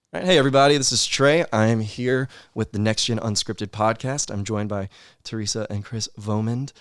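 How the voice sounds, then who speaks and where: On a very clean recording with a silent background, a man with an unremarkable speaking voice talks fairly quickly at a fairly low pitch with ordinary pitch variation. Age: 20s. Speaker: podcast host. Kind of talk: casual interview chat. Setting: office. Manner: casual, filler-heavy.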